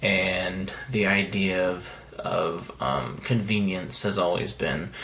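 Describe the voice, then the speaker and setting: The voice is quiet, with ordinary pitch variation. Room echo is audible, and background noise is noticeable. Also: man. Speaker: indie author vlogger. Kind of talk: casual vlog monologue. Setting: vacation house. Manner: quiet, hushed.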